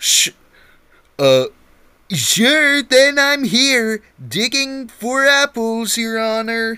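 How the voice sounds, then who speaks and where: Putting on a character voice at an extremely high pitch, a man speaks very slowly with long, frequent pauses on a very clean recording with a silent background. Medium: read story. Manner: deferential.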